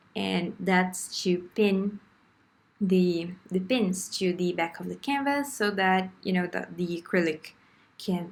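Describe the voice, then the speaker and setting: A woman talks at a very slow pace with a non-native accent. Her pitch is fairly low for a woman, with ordinary pitch variation. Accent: foreign. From Brazil. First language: Portuguese. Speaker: beginner artist vlogger. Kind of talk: casual tutorial voiceover. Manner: hesitant, with fillers.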